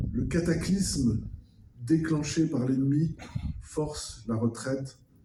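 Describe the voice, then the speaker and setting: A man speaks at a fairly high pitch with a dark, mellow tone. His voice is somewhat breathy. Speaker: official speaker at a commemoration. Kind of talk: formal commemorative speech. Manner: formal.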